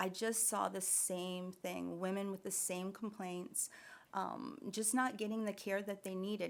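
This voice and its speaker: This woman has a normal speaking voice. Her pitch is medium and her pace is moderate. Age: 60s. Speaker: nurse practitioner and wellness business owner. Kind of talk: podcast interview.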